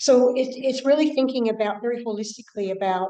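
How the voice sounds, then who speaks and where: A woman talks at a moderate pace in an ordinary speaking voice, with fairly even intonation. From Canada. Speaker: workshop presenter on AI ethics. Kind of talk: workshop presentation.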